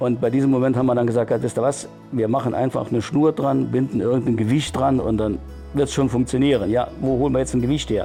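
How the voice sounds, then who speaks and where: Music plays in the background as the speaker talks at a very fast pace with fairly even intonation. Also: man. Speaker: retired miner, surveyor. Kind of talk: interview answer.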